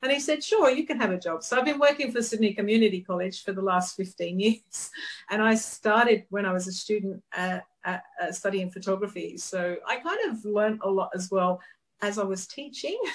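The delivery runs at a fairly quick pace with ordinary pitch variation. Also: woman, medium pitch for a woman. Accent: English. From UK. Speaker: photographer. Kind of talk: interview. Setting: studio.

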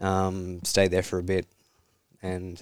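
A man with an Australian accent, very deep and low in pitch, in a dry, close sound with no echo. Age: 20s. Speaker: psychology student in addiction recovery. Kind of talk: interview about personal story.

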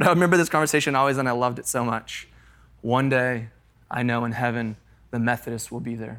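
This is a very clean recording with a silent background. A man speaks at a very fast pace. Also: medium pitch for a man. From Colorado, US. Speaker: pastor. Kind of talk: sermon. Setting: stage with audience. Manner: animated.

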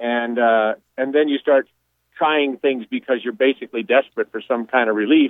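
A man with an unremarkable speaking voice and a fairly high pitch talks at a moderate pace. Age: 60s. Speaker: radio caller. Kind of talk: phone-in call.

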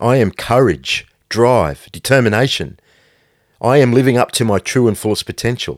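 An intense male voice with vocal fry sits at medium pitch, moving at a moderate pace with ordinary pitch variation. The sound is dry and close, with no echo. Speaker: podcast host and brand founder. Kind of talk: pep talk; motivational monologue, solo podcast. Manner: intense, blunt, hard-driving motivational delivery; forceful, direct, no-nonsense.

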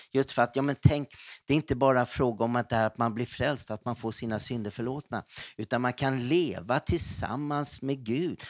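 A man's normal speaking voice with ordinary pitch variation, dry and close with no echo. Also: very clean recording, silent background. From Stockholm, Sweden. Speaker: missionary and pastor. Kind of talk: testimony. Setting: office break room.

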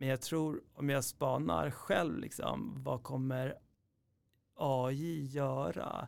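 A man at a very slow pace. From Iran, raised in Sweden from age 9. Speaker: entrepreneur, company founder. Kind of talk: interview. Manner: hesitant, many fillers and repetitions.

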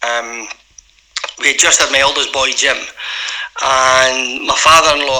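Through noticeable background noise, a man with a Glaswegian accent speaks at a fairly high pitch. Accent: Glaswegian Scottish. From Scotland, Glasgow East End. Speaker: former footballer. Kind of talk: interview.

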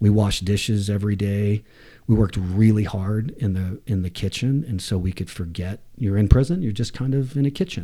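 On a very clean recording with a silent background, a man talks at a moderate pace in a dark, mellow, somewhat breathy voice at a fairly low pitch. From US South, Atlanta and Waco, Texas. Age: 40s. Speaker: climbing hold maker, recovering addict. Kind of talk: interview storytelling. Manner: halting, many false starts.

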